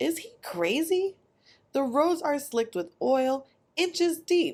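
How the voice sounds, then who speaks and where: A woman puts on a character voice with a high pitch, speaking at a fairly slow pace. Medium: read story.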